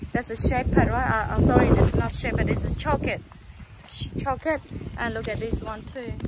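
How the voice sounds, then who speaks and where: Someone with a non-native accent talks at a fairly quick pace, leaving long, frequent pauses over noticeable background noise. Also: woman, fairly high pitch for a woman. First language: not English. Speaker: gardening vlogger. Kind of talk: casual video tutorial/garden tour. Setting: outdoors in garden. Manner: halting, enthusiastic, simple grammar.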